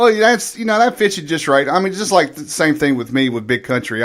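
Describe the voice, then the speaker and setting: A man speaks with an American accent and very wide pitch swings. Noticeable background noise runs behind him. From US South. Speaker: radio show host, army veteran. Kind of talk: casual chat.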